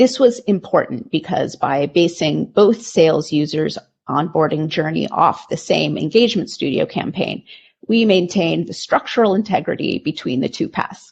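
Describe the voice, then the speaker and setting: A woman talks at a moderate pace with a fairly low pitch and vocal fry. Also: lively intonation. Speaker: marketing and communications manager. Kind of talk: conference presentation.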